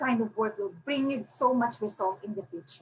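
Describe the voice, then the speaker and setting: The speaker uses a normal speaking voice at a fairly slow pace with ordinary pitch variation. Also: woman. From Philippines. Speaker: self-published author. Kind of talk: webinar presentation. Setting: online webinar. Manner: Taglish code-switching.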